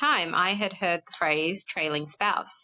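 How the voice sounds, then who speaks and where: A woman speaks at a fairly slow pace with an Australian accent and a bright, sharp tone. The sound is dry and close with no echo, and her pitch varies in an ordinary way. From Australia (born in South Africa, moved at five). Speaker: podcast guest, expat spouse. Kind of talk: casual chat. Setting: podcast interview.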